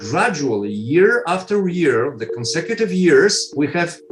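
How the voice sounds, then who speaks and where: A fairly high-pitched man with a Polish accent, very wide pitch swings and a fairly slow pace, music in the background. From Poland. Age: 60s. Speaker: foundation president. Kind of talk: interview. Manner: halting.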